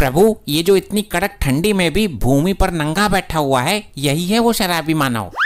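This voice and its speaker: A cartoonish character voice sits at a middle pitch and moves at a moderate pace. There are hardly any pauses, over light background noise. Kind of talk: formal mythic Hindi. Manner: deferential, gossipy.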